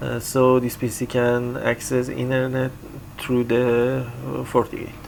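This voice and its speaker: A man with a non-native accent, very slow pace and monotone, flat intonation, amid noticeable background noise. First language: not English. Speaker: IT tutorial creator. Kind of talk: tutorial. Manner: halting, many fillers.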